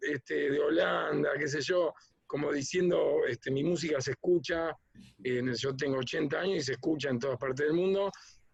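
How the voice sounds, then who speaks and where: The speaker is male. His voice rises and falls in a normal way. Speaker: musician and arranger. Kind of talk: interview. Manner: hesitant, many fillers.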